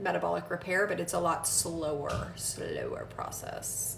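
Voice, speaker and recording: A woman talks with audible room echo and noticeable background noise behind her. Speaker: physician assistant answering health questions. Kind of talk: casual live Q&A. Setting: livestream at home. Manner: loud.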